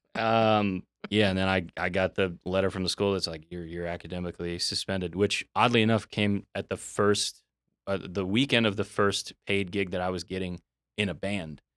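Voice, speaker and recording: A man's very deep, low voice with an American accent, at a moderate pace, dry and close with no echo, on a very clean recording with a silent background. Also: fairly even intonation. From US South, Tampa Bay area of Florida. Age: 30s. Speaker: singer-songwriter. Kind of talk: casual interview. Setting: studio.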